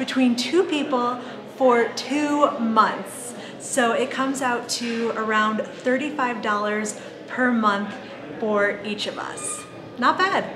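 A woman speaks at a very slow pace in a high pitch with ordinary pitch variation. Noticeable background noise runs underneath. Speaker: travel vlogger. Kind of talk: casual vlog chat. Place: office. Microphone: phone near.

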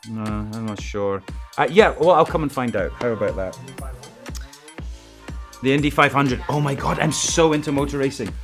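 A man at a moderate pace, with clear music playing behind him. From Scotland. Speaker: actor. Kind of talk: interview answer. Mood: playful, joking. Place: studio.

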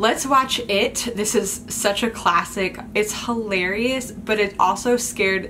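A woman speaks at a very slow pace with very even loudness and fairly even intonation over light background noise. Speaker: vlogger. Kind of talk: casual vlog chat. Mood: playful, nostalgic. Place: home room. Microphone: phone near.

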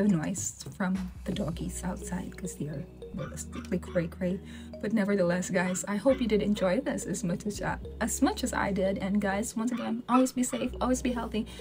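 Over clear background music, a woman talks at a fairly quick pace. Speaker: reaction video host. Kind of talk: casual vlog chat. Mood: warm, enthusiastic. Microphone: webcam.

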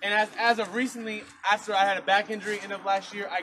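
A man speaks at a fairly quick pace in a raised, projected voice. Noticeable background noise runs underneath. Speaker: preacher. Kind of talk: sermon. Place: garden. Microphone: camera far.

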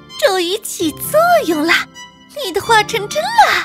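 A woman's cartoonish character voice, extremely high and fairly bright, with big pitch swings at a fairly slow pace over faint background music.

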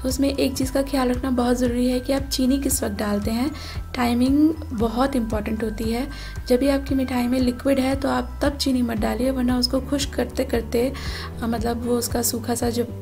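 The speaker keeps a moderate pace over faint background music. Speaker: home cook vlogger. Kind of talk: cooking tutorial. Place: kitchen.

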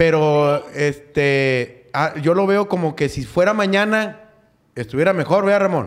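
A man with a normal speaking voice, fairly slow pace and ordinary pitch variation, against a quiet background. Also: fairly high pitch for a man. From Monterrey, Nuevo León, Mexico. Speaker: comedian; podcast host. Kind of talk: casual chat. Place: studio. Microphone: studio mic.

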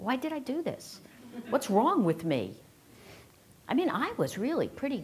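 Bright and sharp in tone, this woman's voice sits at a high pitch. Her pitch swings very widely. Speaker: keynote speaker. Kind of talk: keynote talk. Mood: humorous, self-deprecating. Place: hall. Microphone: lapel.

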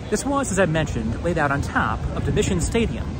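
A man at a moderate pace, dry sound with no echo, crowd noise in the background. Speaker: history video host. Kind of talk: walking tour commentary. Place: street. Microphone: phone near.

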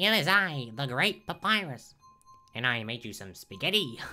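A put-on character voice with a low-to-middle pitch swings very widely at a moderate pace. Faint music plays in the background. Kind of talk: grandiose. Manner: loud and goofy. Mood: playful.

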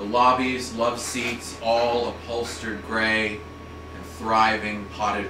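A man's very slow speech with fairly even intonation, audible room echo and noticeable background noise. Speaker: poet. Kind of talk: poetry reading. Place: shop. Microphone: camera far.

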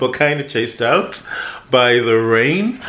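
A man with a medium-pitched, fairly bright voice speaks with ordinary pitch variation amid audible room echo.

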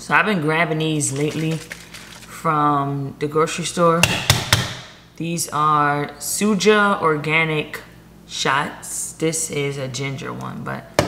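A very slow, very deep, low-pitched woman's voice with fairly even intonation and noticeable background noise. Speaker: lifestyle vlogger. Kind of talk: casual vlog chat. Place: home room. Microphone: phone near.

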